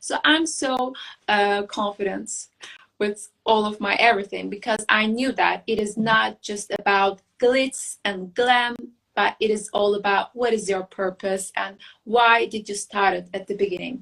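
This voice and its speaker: A woman speaks with a Turkish accent. Her intonation is fairly even and her pace fairly slow. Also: medium pitch for a woman. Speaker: beauty queen and architect. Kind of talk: interview. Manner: halting.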